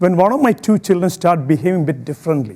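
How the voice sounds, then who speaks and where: A man's high-pitched voice with an Indian accent, dark and mellow in tone, with lively intonation. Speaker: public speaker. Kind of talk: inspirational talk.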